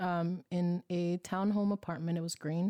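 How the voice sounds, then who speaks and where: Recorded very cleanly against a silent background, the dry, close sound with no echo carries a dark, mellow tone in an American accent. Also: woman. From US West Coast, East Oakland. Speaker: podcast co-host, screenwriter and poet. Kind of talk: casual chat.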